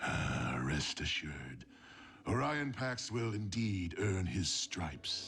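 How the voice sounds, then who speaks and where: Against clear background noise, a man uses a cartoonish character voice, very deep and low, at a fairly slow pace. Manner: commanding, menacing.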